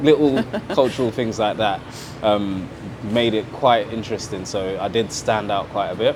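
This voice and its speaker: A man talks at a moderate pace as noticeable background noise carries on behind him. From Trinidad, moved to Britain as a child in 80s. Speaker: artist and photographer. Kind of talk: panel conversation.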